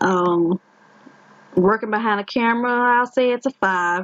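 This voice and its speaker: Noticeable background noise accompanies a woman with a Virginia accent. She talks at a moderate pace with ordinary pitch variation. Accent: Virginia accent, rural county flavour. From Virginia, Richmond, rural county family. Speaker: gaming YouTuber. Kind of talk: casual chat. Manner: halting.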